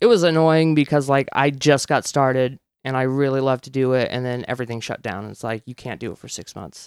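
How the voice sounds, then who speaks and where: A man with an ordinary speaking voice talks at a medium pitch and a fairly quick pace with hardly any pauses. His loudness swings widely against ordinary pitch variation, in a dry, close sound with no echo. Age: 30s. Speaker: stand-up comedian. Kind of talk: casual chat.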